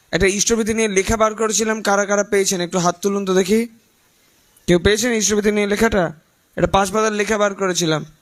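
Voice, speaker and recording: A man's animated, high-pitched voice at very even loudness. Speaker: spiritual leader. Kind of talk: religious talk to gathering.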